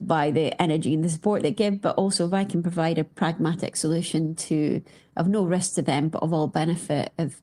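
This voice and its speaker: This woman speaks in a Scottish accent with a dark, mellow tone and fairly low pitch. She talks at a fairly quick pace, and the recording is very clean with a silent background. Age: 40s. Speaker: company founder. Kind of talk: interview conversation. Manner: hesitant, many fillers.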